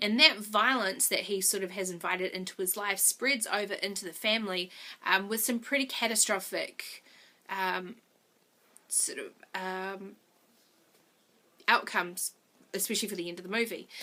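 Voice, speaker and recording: At a fairly slow pace and in a New Zealand accent, the speaker uses a bright, sharp tone, with big swings in loudness and long, frequent pauses. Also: woman. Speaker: movie reviewer vlogger. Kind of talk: video review monologue.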